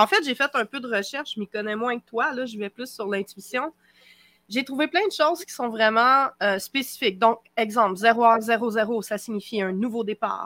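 Speaking in a Quebec accent, a woman with a fairly high pitch and a bright, sharp tone keeps a moderate pace, her loudness swinging widely. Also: ordinary pitch variation, dry, close sound with no echo. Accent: Québécois. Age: 40s. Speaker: witch and youtuber. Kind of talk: casual chat.

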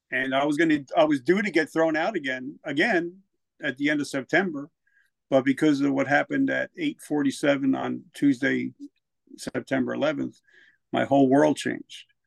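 A man with a New Jersey accent talks at a moderate pace, recorded with a dry, close sound and no echo. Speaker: military veteran and author. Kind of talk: personal testimony in casual interview.

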